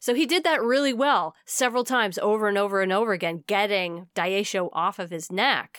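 On a very clean recording with a silent background, a woman uses an ordinary speaking voice at medium pitch, with lively intonation and hardly any pauses. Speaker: podcast host. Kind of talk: casual chat.

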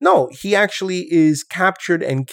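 Here a man speaks with a New York accent. His pace is fairly slow, and the recording is very clean with a silent background. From New York City, Brooklyn (Coney Island). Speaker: professor, podcast co-host. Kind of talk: casual chat.

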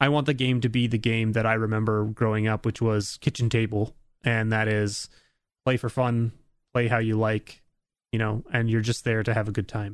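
A man's medium-pitched, monotone, flat delivery on a very clean recording with a silent background. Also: moderate pace, very even loudness. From Canada. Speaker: YouTube creator. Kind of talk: casual chat.

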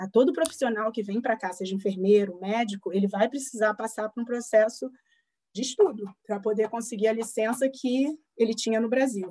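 Somewhat breathy with a dark, mellow tone, the voice moves at a fairly quick pace with ordinary pitch variation. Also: woman, fairly high pitch for a woman. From Brazil, Rio de Janeiro. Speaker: psychologist. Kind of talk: interview.

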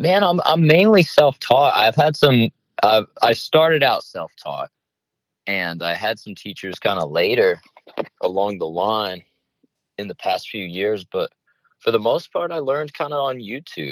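With an American accent, a man talks at a fairly slow pace, his loudness swinging widely, in a dry, close sound with no echo. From US South. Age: 20s. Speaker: guitarist. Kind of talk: radio interview.

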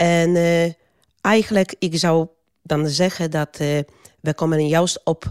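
A woman talks with a Polish accent and ordinary pitch variation. The sound is dry and close with no echo, and the recording is very clean with a silent background. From Poland. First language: Polish (speaking Dutch). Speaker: migrant worker advocate. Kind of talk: interview. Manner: halting.

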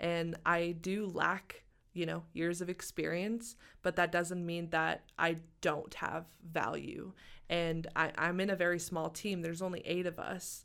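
A woman with an American accent speaks fairly slowly in a fairly low pitch. Her intonation is monotone and flat, and the recording is very clean with a silent background. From Arkansas, US South. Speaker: MBA student. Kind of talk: interview. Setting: studio.

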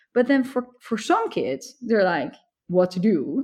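Lively in intonation, a woman with a Dutch accent speaks in a dark, mellow tone. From Netherlands. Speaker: computer science professor. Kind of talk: interview.

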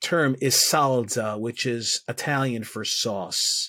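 Recorded very cleanly against a silent background, a man with a New York accent sounds dry and close, with no echo. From US Northeast, Bronx, New York. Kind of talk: interview. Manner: halting.

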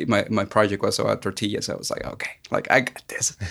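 In a very clean recording with a silent background, a man speaks with a Mexican accent. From Mexico (Aguascalientes). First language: Spanish. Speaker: filmmaker. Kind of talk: casual interview chat.

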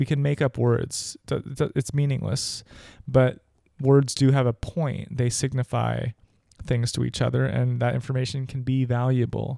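The recording is very clean, with a silent background and a dry, close sound with no echo. A man talks at a moderate pace. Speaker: podcast host. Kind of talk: solo opinion commentary. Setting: solo podcast recording. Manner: conversational, opinionated.

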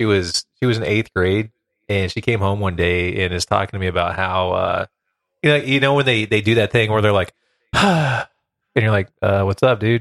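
Against a quiet background, a man with a Midwestern American accent speaks at a moderate pace, his fairly low voice showing ordinary pitch variation. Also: dry, close sound with no echo. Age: 30s. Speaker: podcaster. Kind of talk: casual chat.

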